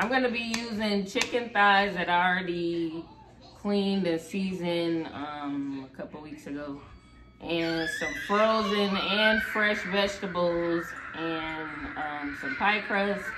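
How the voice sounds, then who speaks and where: Amid noticeable background noise and audible room echo, a woman at a medium pitch speaks very slowly with lively intonation. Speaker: home cooking vlogger. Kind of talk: casual cooking tutorial. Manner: loud.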